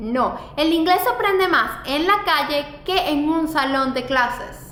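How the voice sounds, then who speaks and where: A woman with a high pitch uses a raised, projected voice and lively intonation at a very slow pace. Noticeable background noise and audible room echo surround her. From Venezuela. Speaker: fashion blogger and YouTuber. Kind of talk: vlog advice talk.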